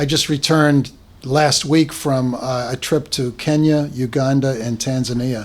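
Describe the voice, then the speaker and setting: Speaking at a fairly slow pace, a man with a slight Boston accent keeps a medium pitch and fairly even intonation. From Boston, Massachusetts (West Roxbury). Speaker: school founder and charity finance officer. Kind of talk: interview. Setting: podcast recording.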